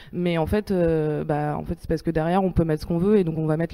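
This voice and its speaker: Her voice sits fairly low, with a dark, mellow tone. The woman's intonation stays monotone and flat. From Paris, France. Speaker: geography researcher. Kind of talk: panel debate.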